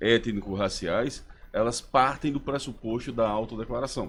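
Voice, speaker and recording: A man speaks at a fairly slow pace. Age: 60s. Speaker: professor, human rights advocate. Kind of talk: radio interview.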